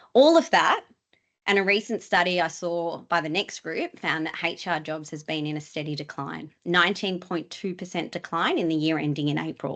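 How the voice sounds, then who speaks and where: A woman with a normal speaking voice talks at a moderate pace and a fairly low pitch. Her pitch varies in an ordinary way against a quiet background. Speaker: employment lawyer presenting to HR leaders. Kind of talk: webinar presentation. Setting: online webinar.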